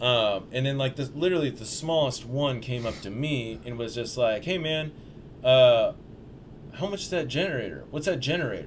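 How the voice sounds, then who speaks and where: An American accent marks this man's speech at a medium pitch with ordinary variation. Audible room echo surrounds him. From Portland, Oregon. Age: 30s. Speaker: skateboarder and videographer. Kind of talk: casual chat. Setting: studio.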